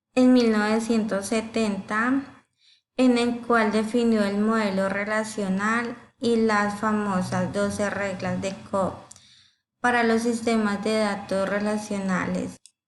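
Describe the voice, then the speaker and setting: Room echo is audible as a woman speaks at fairly high pitch. Her pace is very slow and her intonation monotone and flat. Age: 20s. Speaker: university student. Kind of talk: class presentation. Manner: halting, with fillers.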